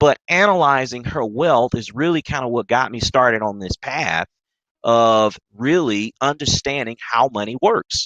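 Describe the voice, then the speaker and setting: Speaking at a fairly slow pace with a Mississippi accent, a man uses an animated tone at medium pitch with ordinary variation, in a dry, close sound with no echo and a quiet background. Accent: Southern (Mississippi). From US South, Mississippi. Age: 30s. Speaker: trader and investing coach. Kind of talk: webinar presentation. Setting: live stream webinar.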